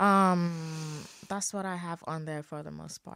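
In a very clean recording with a silent background, a woman's fairly low voice shows ordinary pitch variation and has a dry, close sound with no echo. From Nigeria (Ogun State, Yoruba). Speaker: university student and fashion designer. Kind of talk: casual interview.

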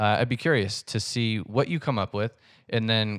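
A man talks at a moderate pace in an unremarkable speaking voice, pitched fairly low. The recording is very clean, with a silent background. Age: 30s. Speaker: podcast host. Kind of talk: solo podcast monologue. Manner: casual, filler-heavy.

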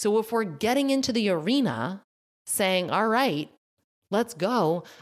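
A woman speaks at a fairly slow pace, her pitch swinging very widely in an animated, passionate tone. The recording is very clean, with a silent background. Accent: American. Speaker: functional medicine nutritionist and podcast host. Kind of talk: solo educational monologue.

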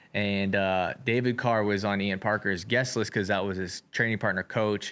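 A man talks at a fairly quick pace in a fairly low, monotone, flat voice. The recording is very clean, with a silent background. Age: 20s. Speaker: wrestling podcast host and event organizer. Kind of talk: casual chat.

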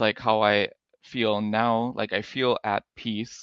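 He speaks with an American accent. His pitch is fairly low for a man. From US Midwest, Minnesota. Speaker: podcast guest sharing conversion story. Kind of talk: testimony.

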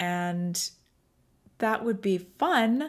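This woman has a normal speaking voice at medium pitch, with lively intonation, on a very clean recording against a silent background. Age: 40s. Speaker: podcast co-host. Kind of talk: solo podcast monologue.

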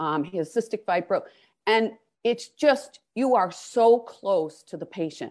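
Over a quiet background, a woman with an ordinary speaking voice talks at a fairly slow pace, her fairly high pitch moving with lively intonation. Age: 60s. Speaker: finance executive and board member. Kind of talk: interview conversation.

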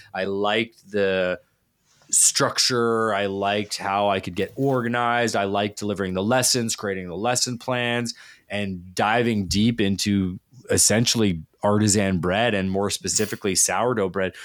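In a Canadian accent, a man with an unremarkable speaking voice talks at a moderate pace, fairly low in pitch, with fairly even intonation. The recording is very clean, with a silent background. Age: 40s. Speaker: chef and baking professor. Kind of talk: casual interview.

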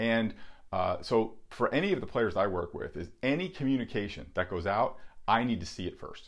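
At a moderate pace, a man with a medium pitch speaks using lively intonation. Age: 40s. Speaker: baseball recruiting advisor. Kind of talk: casual advice talk. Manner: halting, many fillers.

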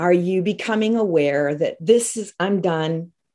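At a very slow pace, a woman of medium pitch speaks on a very clean recording with a silent background. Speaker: podcast host. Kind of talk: casual interview.

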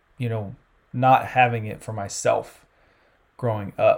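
A man with a Southern US accent, medium pitch, ordinary pitch variation and a moderate pace. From US South, South Carolina. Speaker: campus sports ministry leader. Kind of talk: casual interview.

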